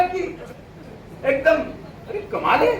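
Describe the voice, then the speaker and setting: Over crowd noise and audible room echo, a man speaks at an extremely high pitch. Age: 60s. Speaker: motivational business speaker. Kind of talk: seminar speech.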